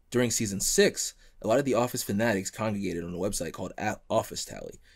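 The speech moves at a very fast pace over a quiet background. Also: man. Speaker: podcast host. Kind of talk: casual chat. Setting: studio. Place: home room. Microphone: studio mic.

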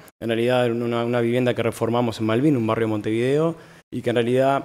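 A man with a medium pitch uses a normal speaking voice with fairly even intonation. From Uruguay. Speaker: architect. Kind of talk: lecture. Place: hall. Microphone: podium.

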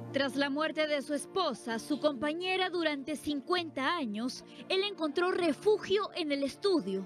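With music in the background, the speech goes at a fairly slow pace with lively intonation and hardly any pauses. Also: woman, high pitch for a woman. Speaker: news reporter. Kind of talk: TV news report narration.

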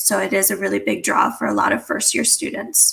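A woman speaks with an American accent. Her pace is moderate. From Minnesota. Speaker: college student, peer mentor. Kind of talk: informational panel talk. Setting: virtual livestream, video call. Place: home room. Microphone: earbuds.

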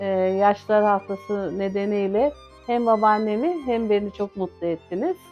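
Music plays in the background. A woman speaks at a fairly slow pace and medium pitch. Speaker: caregiver grandchild. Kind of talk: interview answer.

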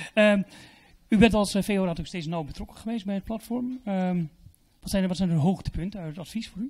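A man's high-pitched voice at a fairly quick pace, with ordinary pitch variation and long, frequent pauses against a quiet background. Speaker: event moderator. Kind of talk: event hosting. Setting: stage with audience. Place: hall. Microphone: handheld.

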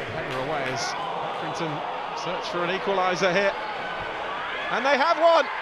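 Fairly quick talk broken by long, frequent pauses, over loud background noise, in a dry sound with no echo. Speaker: football commentator. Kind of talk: live football match commentary, highlights.

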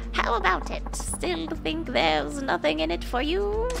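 Loud music plays in the background behind a put-on character voice. The delivery moves at a moderate pace. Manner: cajoling, tempting.

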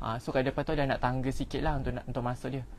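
A man with a Malaysian accent over light background noise. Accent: Malaysian Malay. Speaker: home builder sales representative. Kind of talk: live-stream house tour. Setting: outdoors. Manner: casual; chatty. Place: open country. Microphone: phone near.

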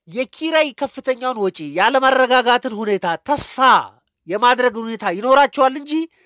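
On a very clean recording with a silent background and a dry, close sound with no echo, a man speaks at an extremely high pitch in a bright, sharp tone with ordinary pitch variation. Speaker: economist and YouTuber. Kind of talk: educational monologue.

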